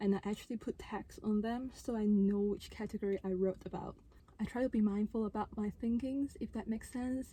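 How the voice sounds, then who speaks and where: A woman talks fairly quickly in a non-native accent, her pitch fairly high and her intonation fairly even. Her tone is dark and mellow, and somewhat breathy. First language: not English. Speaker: vlogger and handpan musician. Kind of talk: casual vlog talk to camera. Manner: unscripted, conversational.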